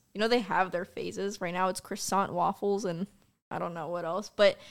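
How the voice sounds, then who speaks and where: With fairly even intonation and a fairly quick pace, a woman speaks in a normal speaking voice on a very clean recording with a silent background. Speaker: streamer. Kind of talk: casual chat.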